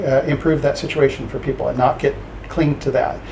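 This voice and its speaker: Over noticeable background noise, a man talks very fast at a fairly high pitch in a monotone, flat intonation. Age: 60s. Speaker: professor. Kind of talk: interview. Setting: office. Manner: halting.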